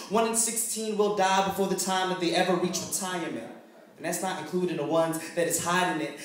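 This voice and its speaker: At a fairly quick pace and with fairly even intonation, someone speaks with an American accent over noticeable background noise. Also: man. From Philadelphia. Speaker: lyricist, spoken word performer. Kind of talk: spoken word poetry performance. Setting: live open mic in front of a crowd.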